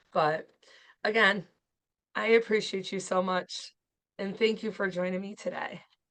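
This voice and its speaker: A woman's medium-pitched, monotone voice with flat intonation, a fairly slow pace, long and frequent pauses, and big swings in loudness, all in a quiet background. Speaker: podcast host. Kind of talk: casual interview chat.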